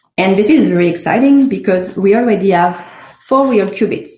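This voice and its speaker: A woman's dark, mellow, somewhat breathy voice in a French accent, lively in intonation, at a moderate pace, with audible room echo. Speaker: startup CEO. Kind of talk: conference talk.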